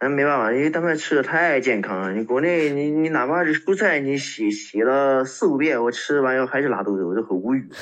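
Speaking fairly quickly with hardly any pauses, a man uses a normal speaking voice at a fairly high pitch with lively intonation. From China, Shenzhen. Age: 30s. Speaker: postal worker. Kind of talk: casual interview.

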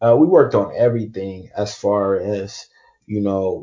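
The voice is somewhat breathy, with an American accent, moving at a fairly slow pace. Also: man. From Oakland, California. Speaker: college basketball player seeking pro contract. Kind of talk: podcast interview.

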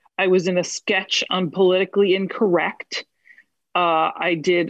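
A woman's medium-pitched, plain, everyday voice with an American accent at a fairly slow pace. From New Jersey. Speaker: actress. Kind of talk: casual interview chat. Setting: video call.

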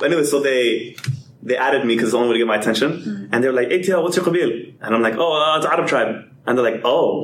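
Amid noticeable background noise, a man with a fairly high pitch talks at a very fast pace. His loudness stays very even. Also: ordinary pitch variation. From Atlanta, US South. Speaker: podcast guest. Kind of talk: casual chat.

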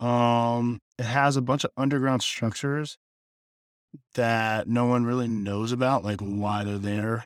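Fairly even in intonation, a man speaks slowly-ish at a medium pitch, his pace fairly slow. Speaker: college student podcast co-host. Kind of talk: casual chat. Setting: dorm room. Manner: quiet.

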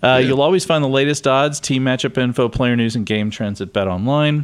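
At a fairly quick pace, an ordinary speaking voice shows ordinary pitch variation. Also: man. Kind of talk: casual chat.

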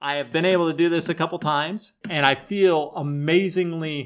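A man with an unremarkable speaking voice, fairly high-pitched, talks at a moderate pace on a very clean recording with a silent background. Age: 50s. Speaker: podcast host and ultrarunner. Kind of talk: solo instructional podcast.

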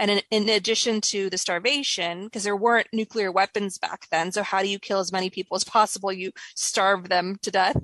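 Using an unremarkable speaking voice in a General American accent, a woman of medium pitch talks at a fairly quick pace with fairly even intonation and hardly any pauses, in a dry, close sound with no echo. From Northern California (Davis). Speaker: filmmaker and podcast host. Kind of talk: interview.

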